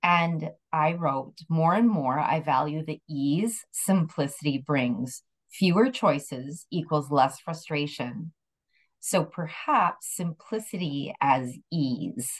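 A very slow, somewhat breathy woman's voice, very deep and low in pitch, with lively intonation. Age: 60s. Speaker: podcast co-host. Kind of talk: casual chat.

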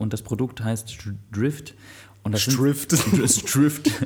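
A somewhat breathy man speaks at a very slow pace in a dark, mellow tone. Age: 30s. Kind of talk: casual chat.

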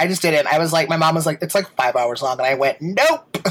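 A man's voice sits high in pitch. His pitch variation is ordinary. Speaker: podcast co-host. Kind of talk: casual chat. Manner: fast; loud.

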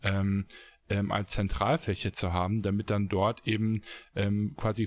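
A fairly low-pitched man with a non-native accent, on a very clean recording with a silent background. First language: not German (speaking German). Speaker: podcast co-host, entrepreneur. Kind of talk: casual chat. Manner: hesitant, many fillers.

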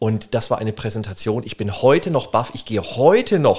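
A man's somewhat breathy voice with lively intonation at a moderate pace. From Germany, Würzburg (Lower Franconia). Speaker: business lawyer and author. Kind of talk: interview. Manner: animated.

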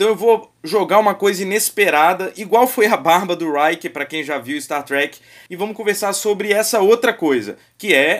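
The man's pitch is high and his intonation lively. He talks at a moderate pace in a very clean recording with a silent background. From Brazil, Vitória. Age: 30s. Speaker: podcast host. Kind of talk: casual chat.

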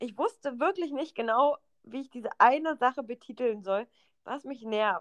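A woman with a high pitch speaks at a moderate pace with lively intonation and big swings in loudness. The sound is dry and close, with no echo. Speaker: podcast co-host. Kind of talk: casual chat.

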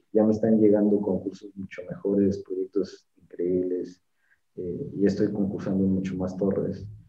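Fairly slow and fairly low in pitch, a man talks. He has a normal speaking voice. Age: 30s. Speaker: structural engineer and firm founder. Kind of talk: interview.

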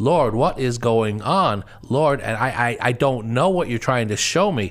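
A man with a normal speaking voice talks at a medium pitch and fairly slow pace on a very clean recording with a silent background. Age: 50s. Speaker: associate pastor and panel host. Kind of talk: personal testimony on a panel show.

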